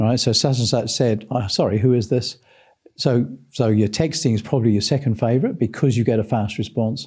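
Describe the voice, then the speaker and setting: Over a silent background on a very clean recording, a man speaks at a fairly quick pace in a medium-pitched, somewhat breathy voice. His loudness stays very even, and his pitch varies in an ordinary way. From England. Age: 60s. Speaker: sales trainer. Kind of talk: interview.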